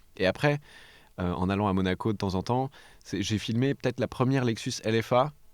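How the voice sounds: A man speaks at a fairly quick pace in a fairly low voice. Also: ordinary pitch variation.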